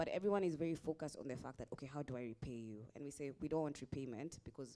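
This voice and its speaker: Fairly quick speech with a Kenyan accent. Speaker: investor. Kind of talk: panel discussion.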